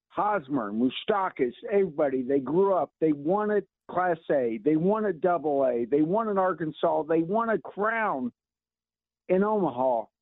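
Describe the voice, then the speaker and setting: A plain, everyday voice carries lively intonation at very even loudness. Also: man, fairly high pitch for a man, moderate pace. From Kansas City area. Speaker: caller. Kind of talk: radio call-in. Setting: phone call. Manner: agitated.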